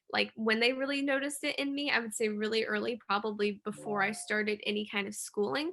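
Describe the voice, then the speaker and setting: A woman with an American accent speaks very fast at a fairly high pitch, with ordinary pitch variation, very even loudness and noticeable background noise. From US Midwest (Illinois, small town). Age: 20s. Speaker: university student. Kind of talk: interview.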